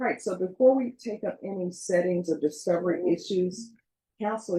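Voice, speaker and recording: A woman speaks at medium pitch and a moderate pace, her somewhat breathy voice dark and mellow in tone, with ordinary pitch variation. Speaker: judge. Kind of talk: courtroom proceedings. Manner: calm, clear.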